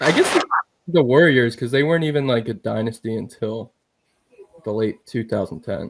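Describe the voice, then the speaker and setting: In a Philadelphia accent, a man talks at a moderate pace with long, frequent pauses. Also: medium pitch for a man, ordinary pitch variation. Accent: Philly. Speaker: sports podcast co-host. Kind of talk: casual chat.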